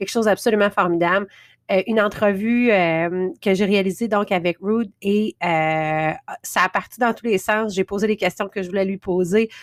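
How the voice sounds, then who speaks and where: Spoken with a Quebec accent at a moderate pace, the fairly even intonation comes through a dry, close sound with no echo on a very clean recording with a silent background. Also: woman, medium pitch for a woman. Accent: Québécois French. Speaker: podcast host. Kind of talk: podcast intro monologue. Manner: hesitant, many fillers.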